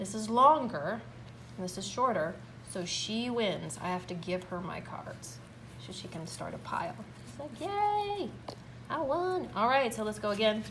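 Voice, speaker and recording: With audible room echo and noticeable background noise, a woman talks at a fairly slow pace, her loudness swinging widely. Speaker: music teacher. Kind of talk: tutorial. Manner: animated.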